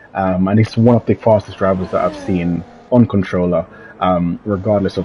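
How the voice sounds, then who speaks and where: The speaker keeps a moderate pace and fairly even intonation over noticeable background noise. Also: man. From Jamaica. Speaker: sim racing league commentator. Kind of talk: live commentary. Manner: frequent filler ums.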